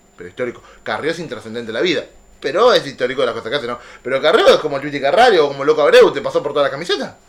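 Over noticeable background noise, a man talks very fast at a fairly high pitch with lively intonation. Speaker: podcast host. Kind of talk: casual chat.

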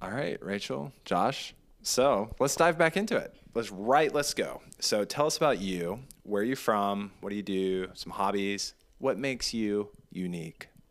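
With a plain, everyday voice, a man speaks at a fairly slow pace and fairly low pitch. His intonation is lively, and the recording is very clean, with a silent background. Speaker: podcast host, Air Force member. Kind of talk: casual interview chat.

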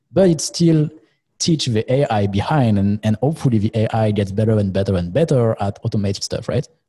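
With a French accent, a man speaks at a fairly quick pace and medium pitch, his dark, mellow, somewhat breathy tone carrying lively intonation on a very clean recording with a silent background. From France. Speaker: co-host. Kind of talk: casual interview chat. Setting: studio.

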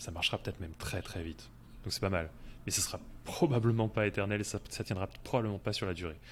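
Talking at a very fast pace, a man with a fairly low pitch shows vocal fry. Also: lively intonation. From France. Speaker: SEO freelancer, podcast co-host. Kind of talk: casual chat.

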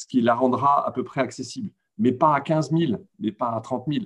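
With a normal speaking voice, this man's intonation is lively and his pace fairly slow. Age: 60s. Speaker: retired comics publisher. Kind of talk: panel discussion.

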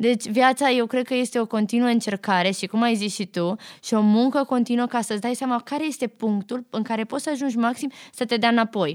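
In a very clean recording with a silent background and a dry, close sound with no echo, a woman with an unremarkable speaking voice talks fairly quickly at a fairly high pitch. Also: ordinary pitch variation. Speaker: podcast host. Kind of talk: casual interview.

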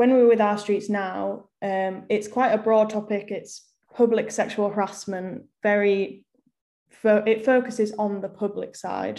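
A woman speaks very slowly in a medium-pitched voice with an English accent. Her tone is dark and mellow, her intonation flat and monotone. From England, small town. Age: 20s. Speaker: university student, activist. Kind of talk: casual chat.

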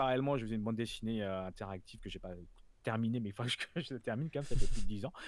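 A man at a medium pitch, with a very fast pace and big swings in loudness. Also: ordinary pitch variation. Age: 40s. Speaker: freelance product designer and design trainer. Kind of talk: casual interview.

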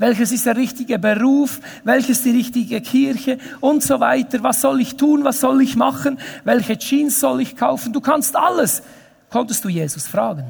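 An extremely high-pitched man speaks with ordinary pitch variation. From Switzerland, Emmental (Bern). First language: Bernese Swiss German (speaking German). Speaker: pastor. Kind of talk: sermon.

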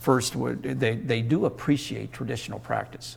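This man's voice sits at a medium pitch and carries vocal fry. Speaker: Mennonite educator and essayist. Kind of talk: interview. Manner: halting.

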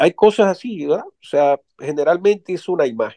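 The voice has a dark, mellow tone in a dry, close sound with no echo. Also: man. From Dominican Republic. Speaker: writer and poet. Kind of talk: interview.

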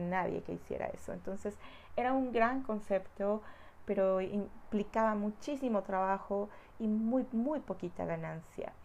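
At a fairly slow pace, a woman talks in a medium pitch with a dark, mellow tone and ordinary pitch variation. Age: 40s. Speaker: spiritual healer. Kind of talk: personal testimony. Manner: warm.

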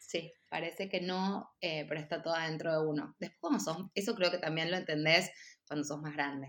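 Moderate pace and ordinary pitch variation in a Rioplatense accent. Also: woman, fairly low pitch for a woman. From Argentina, Buenos Aires. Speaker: interior designer. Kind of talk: casual chat. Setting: video call.

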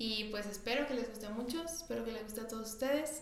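At a fairly quick pace, a woman speaks with fairly high pitch and ordinary pitch variation. Noticeable background noise and audible room echo run through the clip. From Mexico. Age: 20s. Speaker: podcast co-host, nutritionist. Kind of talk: casual chat.

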